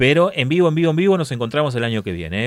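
A man speaks in a Rioplatense accent. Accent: Argentine Rioplatense Spanish. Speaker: radio host. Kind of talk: casual chat.

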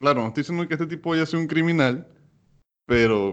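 Speaking at a very fast pace, a man uses a fairly high pitch. His pitch varies in an ordinary way. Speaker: podcast host. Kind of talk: casual chat.

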